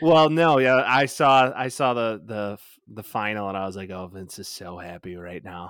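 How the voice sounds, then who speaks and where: A man's fairly low voice at a moderate pace, lively in intonation, an unremarkable speaking voice. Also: hardly any pauses, very clean recording, silent background. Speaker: sports podcast host. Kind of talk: casual banter sports talk. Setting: recording in the evening. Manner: joking, profane, banter.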